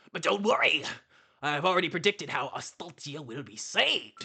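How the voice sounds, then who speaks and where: This put-on character voice sits at a middle pitch. Its pace is moderate. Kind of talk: rambunctious.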